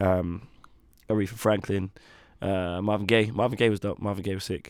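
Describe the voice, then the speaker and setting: A man with a London accent speaks at a moderate pace in a fairly low pitch, his intonation flat and monotone, on a very clean recording with a silent background. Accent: London accent in his music. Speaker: singer-songwriter and producer. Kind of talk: interview chat. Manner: hesitant, many fillers.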